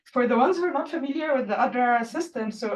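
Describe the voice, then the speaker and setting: A woman speaks loudly at a high pitch. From Egypt. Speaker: postdoc researcher and session co-chair. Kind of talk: workshop session presentation.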